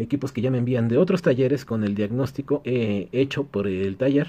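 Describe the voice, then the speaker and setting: Here a man with a dark, mellow tone speaks at a moderate pace, with ordinary pitch variation. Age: 30s. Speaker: electronics repair technician, YouTuber; YouTuber. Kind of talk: casual Q&A vlog. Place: workshop.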